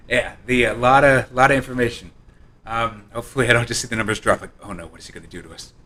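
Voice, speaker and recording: A man speaks at medium pitch and a very fast pace. His loudness swings widely, broken by long, frequent pauses. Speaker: game developer. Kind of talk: live-streamed presentation. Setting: live stream from his apartment.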